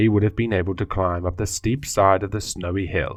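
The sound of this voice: The reading voice is unforced, and its intonation stays fairly even.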